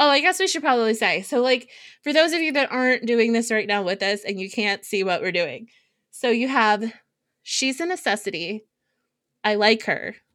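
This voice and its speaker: A woman's ordinary speaking voice, fairly high in pitch, with lively intonation at a moderate pace. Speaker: podcast co-host. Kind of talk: casual chat.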